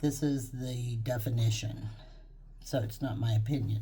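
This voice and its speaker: The voice has a dark, mellow tone that is somewhat breathy, with an American accent. It moves at a fairly slow pace with ordinary pitch variation. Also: woman. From Texas. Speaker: psychic medium, YouTube creator. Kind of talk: casual talk to camera, introduction. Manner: chatty, rambling, informal.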